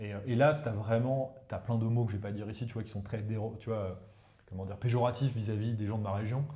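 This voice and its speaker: A man with a dark, mellow, somewhat breathy voice talks at a very fast pace and a medium pitch. His intonation is fairly even, and the room echo is audible. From northern India, eastern Uttar Pradesh. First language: Hindi (speaking French). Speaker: professor of economic warfare. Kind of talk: casual interview chat. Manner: hesitant, many fillers.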